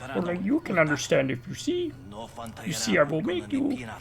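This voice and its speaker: A put-on character voice, creaky and middle-pitched, goes at a moderate pace over light background noise. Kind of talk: inverted, archaic syntax. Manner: ominous, stern.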